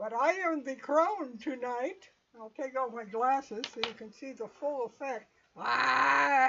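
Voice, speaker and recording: At a fairly slow pace, a woman talks in a high pitch with ordinary pitch variation and big swings in loudness. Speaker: game master. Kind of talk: tabletop game livestream. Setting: live stream.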